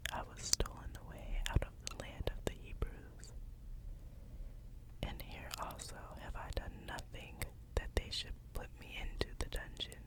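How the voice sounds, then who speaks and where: In a soothing whisper, the speech moves at a fairly slow pace with long, frequent pauses over noticeable background noise. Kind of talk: Bible reading. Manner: whispered; soft, soothing.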